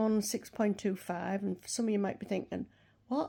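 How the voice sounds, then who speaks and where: On a very clean recording with a silent background, a woman with a British accent speaks at a moderate pace, her fairly high pitch paired with a dark, mellow tone. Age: 60s. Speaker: vlogger. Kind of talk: casual chat.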